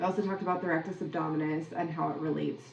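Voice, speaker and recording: A woman with an American accent speaks at a very deep, low pitch. There is audible room echo and noticeable background noise. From Minnesota, US. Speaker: podcast host, athletic coach. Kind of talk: solo podcast recap. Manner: casual, conversational.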